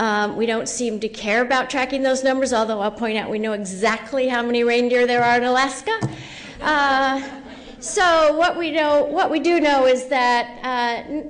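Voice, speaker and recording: A woman's high-pitched voice at a moderate pace, with ordinary pitch variation, audible room echo and noticeable background noise. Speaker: professor. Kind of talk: conference presentation.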